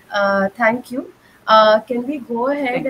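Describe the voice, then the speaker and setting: Over light background noise, a woman uses an ordinary speaking voice at a fairly high pitch with ordinary pitch variation. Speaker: researcher and workshop facilitator; workshop facilitator. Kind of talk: online training session moderation. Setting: video call. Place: home room. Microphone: webcam.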